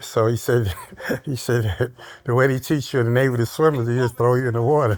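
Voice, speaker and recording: Over noticeable background noise, a man with an American accent talks at a very fast pace, his medium pitch held in fairly even intonation. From Brooklyn, New York. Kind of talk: interview answer.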